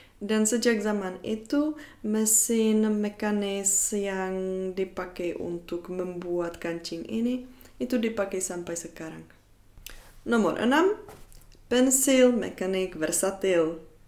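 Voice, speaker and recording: With a Czech accent, a woman speaks at a very slow pace using ordinary pitch variation. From Czech Republic. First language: Czech (speaking Indonesian). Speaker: YouTuber; educational vlogger. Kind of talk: educational vlog; educational vlog talk. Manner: hesitant with frequent fillers. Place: home room.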